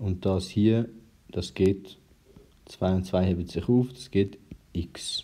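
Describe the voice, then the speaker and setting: A man talks at a very slow pace with a dark, mellow tone. His pitch is fairly low with ordinary pitch variation. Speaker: math tutor. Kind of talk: math tutorial explanation.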